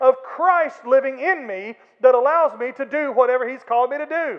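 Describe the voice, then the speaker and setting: With an American accent, a man talks at a moderate pace in an extremely high pitch. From Florala, Alabama (US South). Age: 50s. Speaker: pastor. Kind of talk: sermon. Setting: church. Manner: animated.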